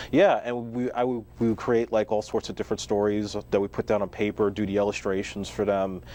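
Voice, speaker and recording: A man's fairly low voice in a New York accent, with ordinary pitch variation. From New York City (Staten Island). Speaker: filmmaker. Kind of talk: interview.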